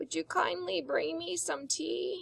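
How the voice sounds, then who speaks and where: A woman's raspy, put-on character voice at a fairly slow pace. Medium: read story. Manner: weak, kindly.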